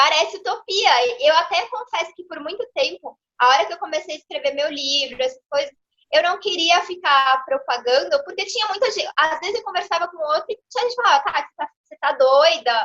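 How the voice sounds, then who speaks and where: A woman's extremely high, raised and projected voice, animated and fairly quick, with a bright, sharp tone, lively intonation and big swings in loudness. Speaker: lawyer and consciousness mentor. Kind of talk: interview. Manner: fast.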